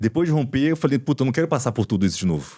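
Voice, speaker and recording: A man's dark, mellow tone comes through on a very clean recording, the background silent. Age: 40s. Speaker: orthopedic doctor, podcast host. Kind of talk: casual interview chat. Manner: conversational, hesitant with repetitions.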